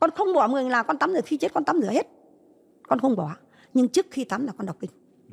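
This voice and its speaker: A woman speaks with vocal fry. Her pitch swings very widely. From northern Vietnam, Hai Phong; northern Vietnam. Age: 80s+. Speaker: Agent Orange victim's grandmother. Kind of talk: testimony. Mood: earnest, recounting hardship. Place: studio. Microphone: handheld.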